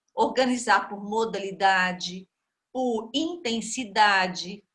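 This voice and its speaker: A woman's fairly high-pitched voice with a bright, sharp tone. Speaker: lecturer. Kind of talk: lecture.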